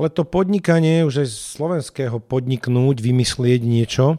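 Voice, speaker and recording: With a dark, mellow tone, a man speaks with ordinary pitch variation in a dry, close sound with no echo. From Slovakia, Bratislava. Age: 40s. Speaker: nonprofit founder and philanthropist. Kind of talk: interview.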